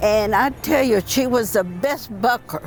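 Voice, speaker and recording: A woman with fairly high pitch speaks at a fairly slow pace over noticeable background noise. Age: 90s. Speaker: WWII factory riveter. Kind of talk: interview testimony. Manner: halting.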